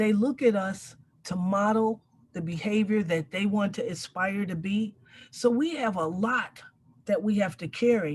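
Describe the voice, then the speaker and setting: A woman's somewhat breathy voice at a medium pitch moves at a fairly slow pace with ordinary pitch variation. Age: 60s. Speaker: community elder and mentor. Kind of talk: panel discussion.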